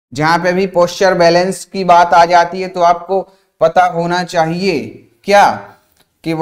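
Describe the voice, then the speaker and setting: A man's high, monotone, flat voice at a fairly slow pace over a quiet background. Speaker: online exam coaching teacher. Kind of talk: lecture. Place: studio. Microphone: lapel.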